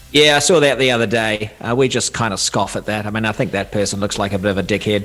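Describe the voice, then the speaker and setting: Over noticeable background noise, a man with a New Zealand accent talks at a very fast pace in a fairly low voice with ordinary pitch variation. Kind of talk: casual, colloquial.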